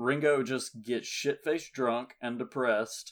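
A man with an ordinary speaking voice talks at a medium pitch with fairly even intonation, recorded very cleanly over a silent background. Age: 20s. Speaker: film podcast host. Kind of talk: casual chat.

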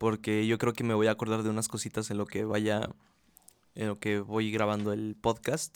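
The speaker is a man with a fairly low pitch. The recording is very clean, with a silent background. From Mexico, Aguascalientes. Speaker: podcast host. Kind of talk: casual monologue. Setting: relative's home, bedroom. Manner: casual, hesitant with fillers.

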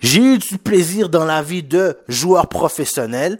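A man with a slight Haitian accent speaks at a high pitch and a very slow pace. The recording is very clean with a silent background. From Quebec, Haitian family. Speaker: sports podcast host. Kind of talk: casual solo sports commentary. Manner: halting, many fillers; animated, with lots of English slang.

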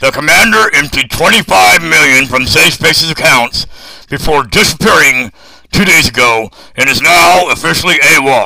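A man speaks at a moderate pace and a fairly high pitch. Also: very even loudness. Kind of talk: military briefing. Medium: audio drama. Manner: formal, measured, blunt.

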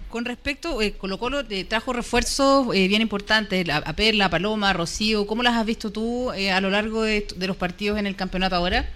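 At a fairly quick pace with hardly any pauses, a woman uses a normal speaking voice, fairly high in pitch with ordinary pitch variation. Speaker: football commentator. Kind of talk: casual chat.

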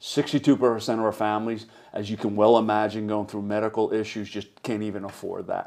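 A man with a Philadelphia accent and a fairly low pitch, speaking at a moderate pace over a quiet background. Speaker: charity executive. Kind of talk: casual interview.

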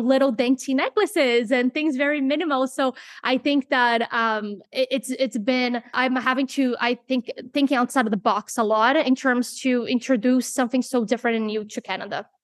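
With a Portuguese accent, a woman speaks in a high pitch at a moderate pace. Her intonation is fairly even, and the sound is dry and close with no echo. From Brazil. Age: 30s. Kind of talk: interview. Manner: halting.

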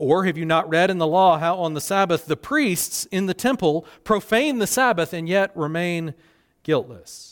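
In a very clean recording with a silent background, a man speaks with a Southern US accent at a high pitch and with ordinary pitch variation. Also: moderate pace. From US South Carolina. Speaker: pastor. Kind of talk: sermon. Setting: church.

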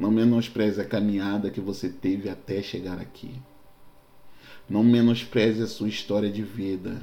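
A man with a Rio de Janeiro accent talks fairly slowly in a fairly low voice with a dark, mellow tone. His intonation is fairly even, and the room echo is audible. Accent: Carioca Brazilian Portuguese. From Rio de Janeiro, Brazil. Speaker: pastor. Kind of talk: sermon-style podcast monologue.

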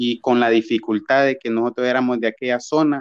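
Using a plain, everyday voice, a man speaks at a medium pitch with fairly even intonation. The background is quiet and the sound is dry and close, with no echo. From Honduras, Gracias a Dios department. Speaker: musical artist. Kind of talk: casual interview.

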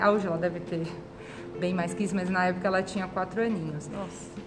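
A woman's speech carries ordinary pitch variation, set against noticeable background noise and audible room echo. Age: 30s. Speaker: nurse. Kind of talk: interview.

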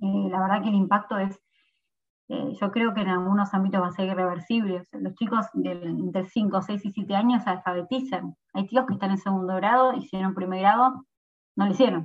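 This woman's medium-pitched voice is somewhat breathy, and her intonation stays fairly even. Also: fairly quick pace. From Argentina, San Miguel (Buenos Aires province). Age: 20s. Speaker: provincial legislator. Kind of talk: interview.

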